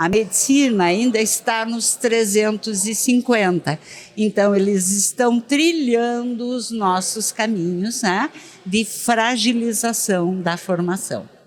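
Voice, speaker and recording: A woman's fairly high voice with a southern Brazilian accent, very slow delivery and ordinary pitch variation, over noticeable background noise. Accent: southern Brazilian (gaúcho). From Rio Grande do Sul, Brazil. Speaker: dentistry education expert. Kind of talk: podcast interview. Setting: at a dental congress event.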